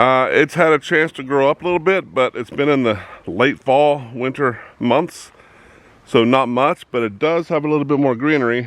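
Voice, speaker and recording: With a plain, everyday voice, a man talks at a moderate pace using lively intonation. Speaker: hobby farmer vlogger. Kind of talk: casual outdoor vlog narration. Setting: outdoors on farm.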